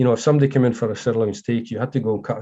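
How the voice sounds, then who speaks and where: Against a quiet background, a man with a Scottish accent speaks in a dark, mellow tone with fairly even intonation. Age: 50s. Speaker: former butcher, meat industry manager. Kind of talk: casual interview.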